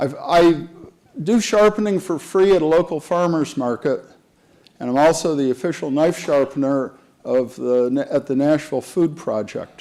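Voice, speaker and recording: This man's tone is dark and mellow. He speaks at a moderate pace with ordinary pitch variation. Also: fairly high pitch for a man. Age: 70s. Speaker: retired chemist and knife sharpener. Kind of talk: conference talk.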